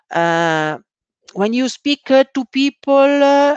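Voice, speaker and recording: A woman speaks very slowly with an Italian accent and lively intonation. The sound is dry and close with no echo, and the background is quiet. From Italy. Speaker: scrum master. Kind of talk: conference talk. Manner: halting, many fillers.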